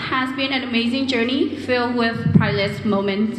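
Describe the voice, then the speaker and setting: A woman with a Vietnamese accent speaks at a fairly slow pace and a high pitch. Audible room echo and noticeable background noise surround her. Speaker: graduating student speaker. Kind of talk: commencement speech. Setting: stage with audience.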